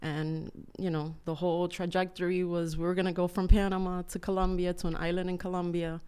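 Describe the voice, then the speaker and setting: Dark, mellow tone at a fairly quick pace with monotone, flat intonation. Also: woman, fairly low pitch for a woman. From Cuba. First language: Spanish. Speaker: churchgoer, business owner. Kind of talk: testimony.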